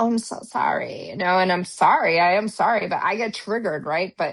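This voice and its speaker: The background stays quiet. A woman speaks at a moderate pace, with ordinary pitch variation. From US Midwest. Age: 50s. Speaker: podcast co-host, former police officer. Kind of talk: casual chat. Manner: animated.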